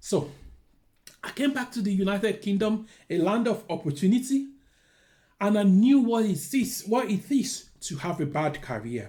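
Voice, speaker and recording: Speaking with a Nigerian accent, a man uses a high pitch, a dark, mellow tone and lively intonation. His pace is moderate, broken by long, frequent pauses. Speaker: careers adviser. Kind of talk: talking-head video, personal story and advice.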